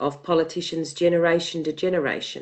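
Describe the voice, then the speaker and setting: Here a woman talks with an Australian accent. Her pitch is fairly low and her pace moderate. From Australia, western Sydney. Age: 50s. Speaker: activist researcher. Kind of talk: interview.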